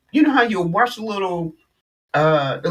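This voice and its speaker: Speech at a moderate pace, very cleanly recorded against a silent background. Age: 60s. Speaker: vlogger, movie talk. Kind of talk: casual vlog chat. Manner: animated.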